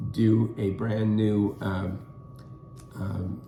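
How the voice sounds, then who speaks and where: A somewhat breathy voice with a dark, mellow tone speaks with fairly even intonation in an American accent, with audible room echo. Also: man. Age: 70s. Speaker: co-host. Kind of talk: casual discussion. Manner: halting, many fillers.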